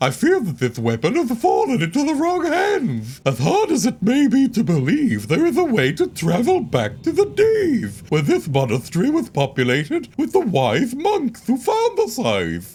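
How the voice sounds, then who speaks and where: A put-on character voice in a solemn tone, moderate in pace with hardly any pauses. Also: man, extremely high pitch for a man. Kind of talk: read-aloud journal entry. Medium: video game. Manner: solemn, archaic phrasing.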